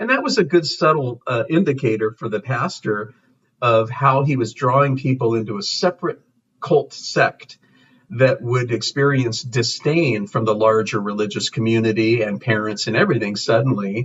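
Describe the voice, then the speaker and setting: A man talks in a medium-pitched, somewhat breathy voice. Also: ordinary pitch variation, moderate pace. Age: 60s. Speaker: pastor. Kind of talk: interview. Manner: halting.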